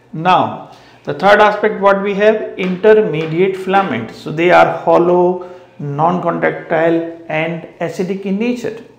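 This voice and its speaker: A man speaks with a high voice. There is audible room echo. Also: ordinary pitch variation, moderate pace. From India. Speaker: biology teacher. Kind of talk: lecture. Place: classroom. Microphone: lapel.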